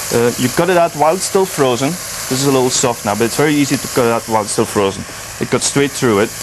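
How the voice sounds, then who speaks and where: Over noticeable background noise, a man talks at a very fast pace, with a medium pitch and ordinary pitch variation. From Belgium. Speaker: chef. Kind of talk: cooking demonstration. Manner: halting, repeats words.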